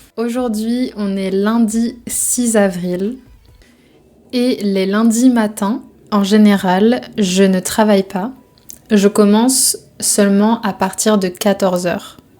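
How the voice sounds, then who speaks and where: With music in the background, a woman speaks at a very slow pace and medium pitch. Her intonation is fairly even, with long, frequent pauses. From Brittany, France. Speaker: French teacher. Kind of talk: casual vlog talk to camera.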